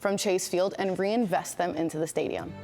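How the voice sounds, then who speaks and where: Background music is audible. A woman talks over it. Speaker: news anchor. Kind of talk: TV news anchor delivery. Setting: broadcast studio.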